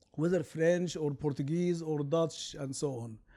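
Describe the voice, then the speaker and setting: In an Arabic accent, a man with a high pitch and a dark, mellow tone speaks at a moderate pace with ordinary pitch variation. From Sudan. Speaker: law professor. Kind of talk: lecture.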